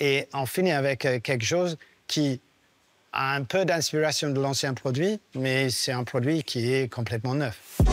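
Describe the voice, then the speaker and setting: Fairly slow speech from a man at a fairly high pitch, ordinary pitch variation, dry and close with no echo. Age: 60s. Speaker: technical director of a rally team. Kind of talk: documentary interview. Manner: hesitant, many filler sounds.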